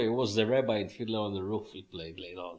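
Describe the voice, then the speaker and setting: A man is speaking. He has a strong non-native accent. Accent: strong foreign. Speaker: musician and club owner. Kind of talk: interview.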